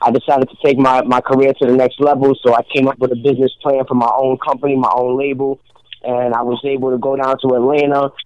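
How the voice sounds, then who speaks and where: Someone with an American accent talks at a very fast pace in a monotone, flat intonation, the sound dry and close with no echo. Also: man, medium pitch for a man. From Rhode Island, US. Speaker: rapper. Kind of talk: casual radio interview.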